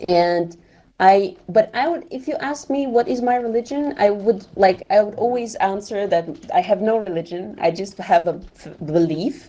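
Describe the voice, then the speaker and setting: A woman with a non-native accent, medium pitch, and a dark, mellow tone, at a moderate pace, with lively intonation and big swings in loudness. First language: not English. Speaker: event organizer in a VR discussion. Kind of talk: casual group discussion. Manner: halting, with many fillers.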